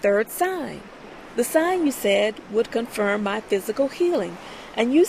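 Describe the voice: Lively intonation runs through the clip. It is plain reading aloud.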